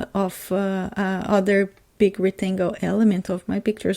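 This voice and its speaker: A woman's dark, mellow voice with a non-native accent, at a moderate pace. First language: not English. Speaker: scrapbooker. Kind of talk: casual crafting process voiceover.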